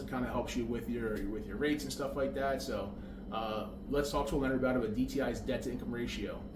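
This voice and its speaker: Audible room echo and noticeable background noise fill the recording. A man rushes through his words at a very fast pace. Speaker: real estate broker. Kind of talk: explainer tutorial. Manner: casual, conversational.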